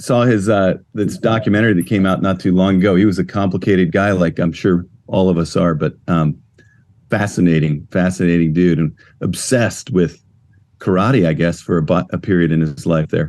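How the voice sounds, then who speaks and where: This man's voice is very deep and low, with ordinary pitch variation. He talks at a fairly quick pace. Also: very even loudness. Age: 60s. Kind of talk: casual chat.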